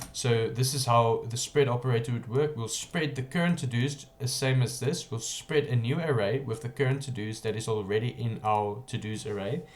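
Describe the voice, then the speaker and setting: With noticeable background noise, a man speaks at a moderate pace and medium pitch, with ordinary pitch variation and hardly any pauses. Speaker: programming tutorial creator. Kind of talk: coding tutorial.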